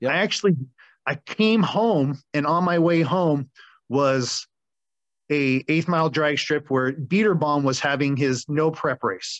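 A normal speaking voice with an American accent talks at a fairly slow pace with very even loudness over a quiet background. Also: man, fairly high pitch for a man, ordinary pitch variation, dry, close sound with no echo. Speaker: auto mechanic and drag racer. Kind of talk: casual chat.

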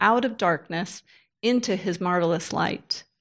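A woman's unremarkable speaking voice at a fairly slow pace, with ordinary pitch variation and a very clean recording against a silent background. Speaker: pastor's wife and women's ministry leader. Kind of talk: teaching talk.

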